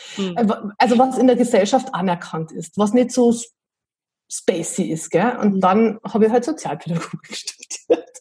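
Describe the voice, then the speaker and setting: A woman with a fairly high, somewhat breathy voice speaks in a dark, mellow tone. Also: ordinary pitch variation, moderate pace. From Bavaria, Berchtesgadener Land (Bad Reichenhall). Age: 40s. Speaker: improv theatre enthusiast, self-employed mother. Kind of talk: casual interview.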